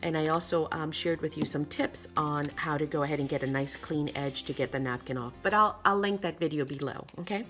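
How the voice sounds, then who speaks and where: With music in the background, the speaker moves at a fairly quick pace with lively intonation and hardly any pauses. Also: woman, very deep, low pitch for a woman. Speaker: craft video host. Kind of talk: tutorial. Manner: fast; casual, chatty.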